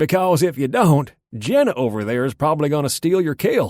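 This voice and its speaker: In a put-on character voice, a man talks at a fairly quick clip with lively intonation and a fairly high pitch, recorded very cleanly against a silent background. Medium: read story. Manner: gruff, folksy.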